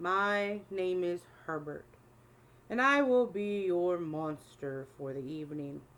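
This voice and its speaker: A woman's put-on character voice, fairly low in pitch, at a fairly slow pace. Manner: formal, polite.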